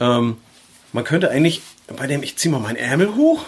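This is a man speaking. He has a northern German accent. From northern Germany, Schleswig-Holstein near Flensburg. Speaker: tattoo artist and podcast host. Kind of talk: casual chat.

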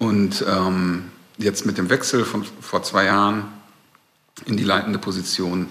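Noticeable background noise behind a man's fairly low voice. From Ruhr area, Germany (Recklinghausen). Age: 40s. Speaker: music record label manager. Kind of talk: casual interview. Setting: recorded in a bar.

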